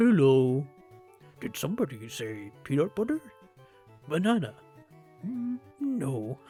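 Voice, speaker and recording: In a put-on character voice at a low-to-middle pitch, the speaker moves at a fairly slow pace with long, frequent pauses and very wide pitch swings, while faint music plays in the background. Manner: cartoonish.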